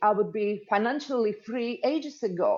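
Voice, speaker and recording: Speaking at a fairly slow pace, a woman's voice makes very wide pitch swings. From Latvia. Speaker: network marketing manager. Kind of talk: testimony. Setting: webinar. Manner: slow and clear.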